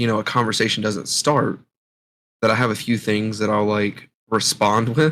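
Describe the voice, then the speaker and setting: An ordinary speaking voice, a man's at medium pitch, with an American accent and a moderate pace. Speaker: podcast co-host. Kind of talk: casual chat.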